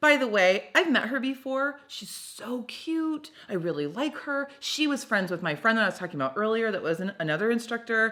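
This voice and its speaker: Loud and animated, a woman talks with hardly any pauses in a bright, sharp tone with very wide pitch swings. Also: fairly high pitch for a woman, moderate pace. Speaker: podcast host. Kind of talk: casual chat.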